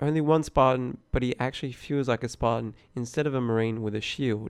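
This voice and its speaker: A man with an ordinary speaking voice, medium pitch and a fairly quick pace. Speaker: gaming commentator. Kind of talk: unscripted gaming commentary.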